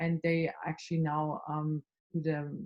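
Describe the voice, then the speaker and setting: A woman's somewhat breathy voice, dark and mellow in tone, in a dry, close sound with no echo. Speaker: consulting skills trainer. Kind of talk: online workshop. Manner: fast.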